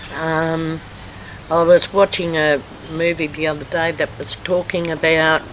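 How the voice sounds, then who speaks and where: A woman with a fairly low pitch speaks in a flat monotone at a fairly slow pace. Noticeable background noise sits behind her. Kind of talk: interview answer.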